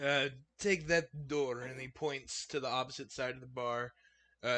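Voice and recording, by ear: The pitch moves in an ordinary way as a natural voice reads aloud.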